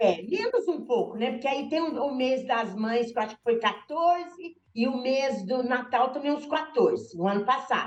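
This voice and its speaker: With a high pitch, lively intonation and a moderate pace, a woman talks with hardly any pauses. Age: 60s. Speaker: shoe store owner. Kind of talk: interview on video call.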